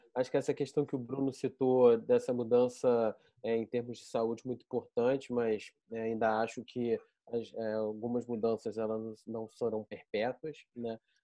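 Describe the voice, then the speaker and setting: Speaking at a moderate pace, a man delivers his words in a monotone with flat intonation. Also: medium pitch for a man. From Rio de Janeiro, Brazil. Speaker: pharmaceutical innovation director. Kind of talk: online panel discussion.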